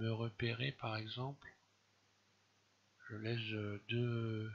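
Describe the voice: A fairly bright tone with vocal fry and a slightly husky edge, at a fairly slow pace. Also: man.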